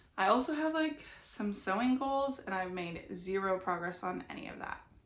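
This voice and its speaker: Audible room echo around a woman's voice at a moderate pace. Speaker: knitting podcaster. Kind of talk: casual vlog monologue.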